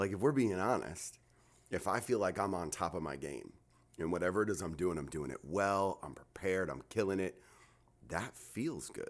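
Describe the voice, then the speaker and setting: A man with an American accent, a very deep, low voice, lively intonation, and a moderate pace. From New Jersey. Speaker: pastor. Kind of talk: casual podcast chat. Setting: studio.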